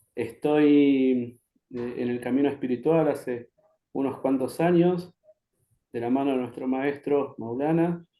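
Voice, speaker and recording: Here a man speaks at a fairly slow pace with fairly even intonation. His voice is fairly high in pitch, with a dark, mellow tone. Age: 40s. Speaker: social psychologist and spiritual teacher. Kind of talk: interview.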